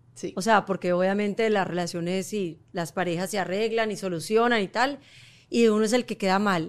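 This woman has a normal speaking voice at medium pitch, with ordinary pitch variation and a moderate pace. The recording is very clean, with a silent background. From Colombia. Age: 40s. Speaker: model and entrepreneur. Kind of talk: casual chat.

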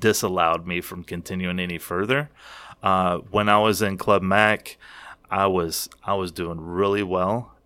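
This man speaks with a Kentucky accent in a bright, sharp tone, his pitch very deep and low. His pace is fairly slow, his intonation fairly even, and the recording is very clean with a silent background. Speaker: cigar retailer and smoking champion. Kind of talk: casual interview chat.

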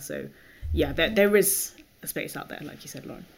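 A woman with a British accent talks at a very fast pace. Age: 20s. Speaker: product designer. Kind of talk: casual chat.

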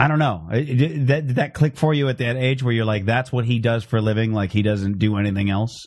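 A man with a plain, everyday voice talks at a fairly quick pace with hardly any pauses. His pitch is medium with ordinary variation, over a quiet background. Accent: American. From Phoenix, Arizona. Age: 30s. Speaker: comedian podcast host. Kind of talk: casual chat. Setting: live-streamed internet show.

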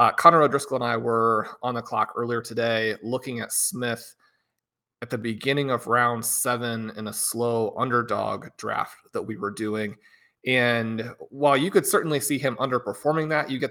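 With a plain, everyday voice, a man speaks at a moderate pace and medium pitch with fairly even intonation, in a very clean recording with a silent background. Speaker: fantasy football podcast co-host. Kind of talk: casual podcast chat.

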